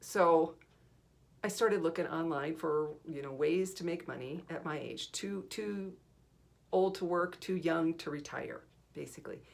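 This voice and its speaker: A woman's fairly low voice carries vocal fry, ordinary pitch variation and big swings in loudness. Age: 60s. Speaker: video creator. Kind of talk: personal testimony. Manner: halting.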